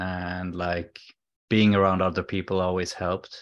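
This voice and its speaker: A man talks in a very deep, low voice with a Swedish accent. His pace is moderate, and the background is quiet. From Sweden. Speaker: alcohol-free coach. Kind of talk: interview, personal story. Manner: halting.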